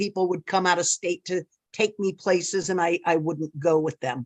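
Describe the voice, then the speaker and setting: Recorded with a quiet background and a dry, close sound with no echo, a woman with a fairly low voice speaks at a moderate pace with fairly even intonation in an unremarkable speaking voice. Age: 60s. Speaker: fearful flyer, class participant. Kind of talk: testimony.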